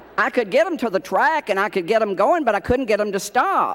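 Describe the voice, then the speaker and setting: Over noticeable background noise, a man with an American accent talks at a high pitch with very wide pitch swings. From Tennessee hills, US South. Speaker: award presenter, TV personality, former exercise rider. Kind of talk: award presentation; humorous award speech.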